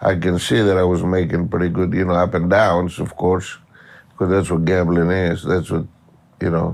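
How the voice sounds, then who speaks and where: A man's very deep, low voice with a Greek accent, at a moderate pace. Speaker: professional gambler. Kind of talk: interview. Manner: halting.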